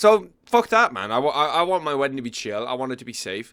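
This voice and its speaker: A man with an Irish accent speaks in an animated, bright, sharp tone at a fairly high pitch with very wide pitch swings. The recording is very clean with a silent background. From Ireland. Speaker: MMA commentator. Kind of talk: casual tier list commentary.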